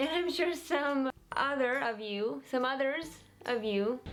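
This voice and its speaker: Lively intonation in a woman's high-pitched voice. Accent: American. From Alaska, USA. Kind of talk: casual talk to camera.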